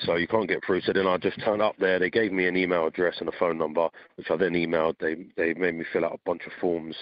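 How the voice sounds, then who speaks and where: A man with a British accent talks at a very fast pace in a very deep, low pitch with monotone, flat intonation. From Britain. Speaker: gym owner, volunteer fighter. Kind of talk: interview. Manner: halting.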